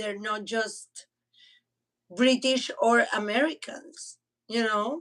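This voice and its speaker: A woman with a Spanish accent at a very slow pace. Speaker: podcast co-host. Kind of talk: casual chat. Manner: halting, repeats words.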